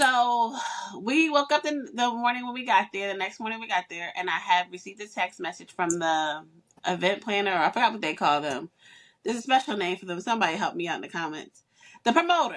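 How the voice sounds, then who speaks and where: At a fairly quick pace, a woman with a medium pitch talks with very wide pitch swings and big swings in loudness. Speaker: podcast host. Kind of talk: casual chat.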